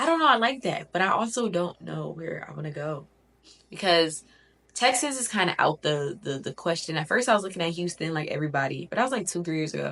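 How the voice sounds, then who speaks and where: In an American accent, a woman talks at a very fast pace with a fairly low pitch and vocal fry. Her tone is bright, sharp and animated, with lively intonation. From Connecticut, with early childhood in Miami. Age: 20s. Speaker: lifestyle vlogger. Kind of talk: casual vlog talk to camera. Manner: chatty, animated.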